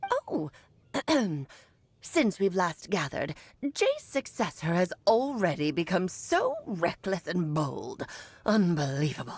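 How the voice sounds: Using a put-on character voice, a woman speaks at a medium pitch. Her pace is fairly slow, with long, frequent pauses.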